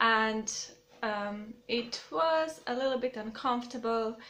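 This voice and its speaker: In a Croatian accent, a woman speaks very slowly in a high pitch with ordinary pitch variation, with noticeable background noise behind her. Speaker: YouTuber. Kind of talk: casual vlog talk to camera. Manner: halting, many fillers.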